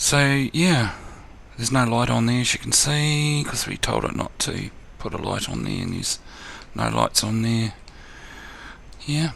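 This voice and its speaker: In a New Zealand accent, a man speaks at a fairly slow pace, leaving long, frequent pauses. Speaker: gaming tutorial youtuber. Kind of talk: tutorial. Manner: casual, hesitant with fillers.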